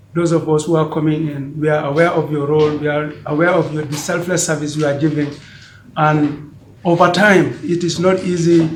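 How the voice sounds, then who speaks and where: Fairly quick, fairly high male speech with monotone, flat intonation and audible room echo. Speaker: member of an organization. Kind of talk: meeting speech. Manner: loud.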